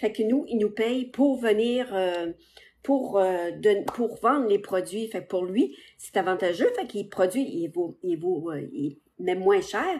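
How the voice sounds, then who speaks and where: A woman's medium-pitched voice with a Quebec accent, lively intonation and a very slow pace over a quiet background. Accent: Québécois French. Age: 60s. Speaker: social media seller. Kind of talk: live stream sales pitch. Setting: live stream on TikTok and Facebook. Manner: casual, hesitant with many fillers.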